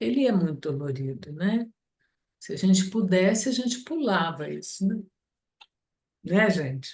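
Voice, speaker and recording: A somewhat breathy woman at medium pitch speaks at a fairly slow pace with very wide pitch swings and long, frequent pauses. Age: 60s. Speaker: study group participant. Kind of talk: group discussion.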